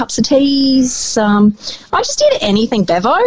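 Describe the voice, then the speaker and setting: Noticeable background noise runs under a woman's voice. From New Zealand, Wanganui. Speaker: radio host. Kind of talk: casual interview chat.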